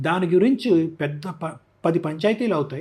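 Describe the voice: At a moderate pace, a man speaks in a fairly high pitch with lively intonation, a slightly mellow tone and a slightly husky edge.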